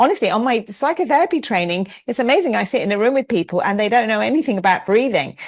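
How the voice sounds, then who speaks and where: Speaking with a London accent, a woman talks very fast with hardly any pauses. Her fairly high voice swings very widely in pitch. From London, England. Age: 60s. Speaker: yoga teacher. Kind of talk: interview.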